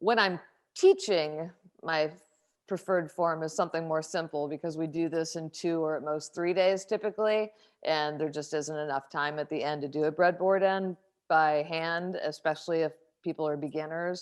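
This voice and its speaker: Over a quiet background, a woman with an American accent talks at a moderate pace with fairly even intonation. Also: fairly low pitch for a woman. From Kentucky, US. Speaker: woodworker and editor. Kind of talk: online talk Q&A.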